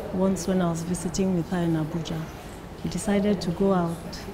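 A woman at a moderate pace against loud background noise. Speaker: friend giving testimonial. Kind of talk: testimonial. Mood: warm, admiring. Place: home room.

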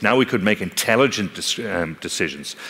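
Using an Irish accent, a man speaks at a moderate pace with very wide pitch swings. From Ireland. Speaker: technology company speaker on analytics and fraud; speaker. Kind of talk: conference talk. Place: stage.

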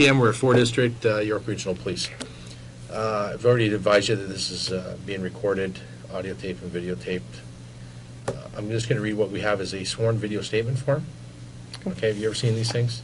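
Noticeable background noise sits behind a man talking at a very fast pace. His pitch is fairly low, with ordinary pitch variation. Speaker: police detective interviewer. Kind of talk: formal interview reading a statement form. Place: meeting room.

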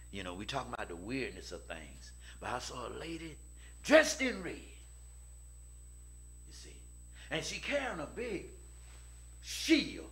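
A man's voice with big swings in loudness over light background noise. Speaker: preacher. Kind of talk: sermon. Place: church. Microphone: podium.

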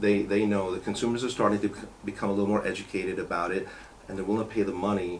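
With a New York accent, a man with a fairly low pitch talks at a very fast pace in a monotone, flat way over light background noise. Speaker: car care company owner. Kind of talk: interview. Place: meeting room.

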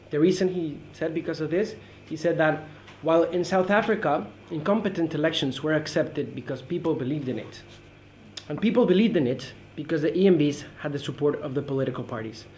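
Light background noise accompanies a man whose fairly quick speech shows ordinary pitch variation. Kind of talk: academic presentation. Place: meeting room. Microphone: camera far.

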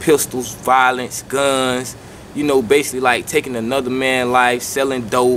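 There is a man speaking over light background noise. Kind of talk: interview answer. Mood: serious, earnest. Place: garden.

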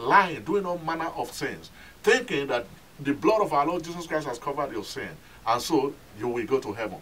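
A fairly high-pitched man's voice at a very fast pace. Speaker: pastor. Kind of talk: sermon. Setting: telecast, recorded sermon for television audience. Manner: earnest, admonishing preacher's cadence, repeating 'My friend' to press the point. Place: church. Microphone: camera far.

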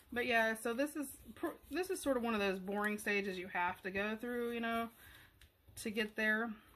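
Loud and at a moderate pace, a woman speaks with a bright, sharp tone at a fairly high pitch. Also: ordinary pitch variation. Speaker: craft tutorial creator; craft tutorial maker. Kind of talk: tutorial. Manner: speaking up louder; casual, hesitant.

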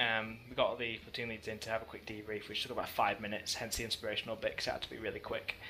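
With hardly any pauses, a man talks at a very fast pace. Noticeable background noise runs underneath. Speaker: team leader, player. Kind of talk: casual post-match interview.

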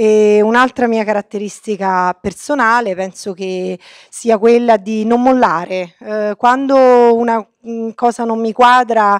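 An unremarkable speaking voice from a woman, fairly high in pitch with fairly even intonation, dry and close with no echo, over a quiet background. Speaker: politician. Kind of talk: speech.

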